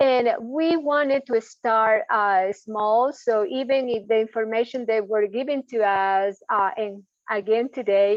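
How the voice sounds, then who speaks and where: A woman speaks in a normal speaking voice at a fairly high pitch, with ordinary pitch variation. Her pace is fairly slow, yet she leaves hardly any pauses. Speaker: home visiting program staff. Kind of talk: work meeting update.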